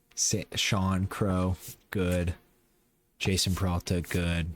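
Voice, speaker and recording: A very slow, monotone male voice, very deep and low in pitch, with flat intonation. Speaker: gaming video creator. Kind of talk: gameplay commentary.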